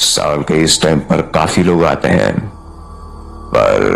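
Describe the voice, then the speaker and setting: A man puts on a character voice at a fairly slow pace. Background noise is clearly audible. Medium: audio drama. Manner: grave, ominous.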